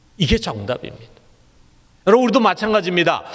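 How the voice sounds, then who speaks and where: High-pitched male speech with very wide pitch swings. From Seoul, South Korea. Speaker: pastor. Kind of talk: sermon.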